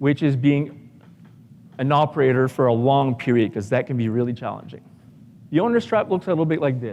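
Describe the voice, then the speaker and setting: Against noticeable background noise, a man with a French-Canadian accent talks at a moderate pace, his pitch fairly high and his intonation lively. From Canada, Ottawa. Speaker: business coach for contractors. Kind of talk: conference talk. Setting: stage with audience.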